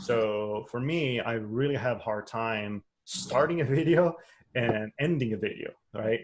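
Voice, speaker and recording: Speaking at a fairly slow pace with lively intonation, a man with a non-native accent talks at a medium pitch. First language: not English. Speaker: online course instructor. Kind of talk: webinar presentation. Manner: halting, many fillers and restarts.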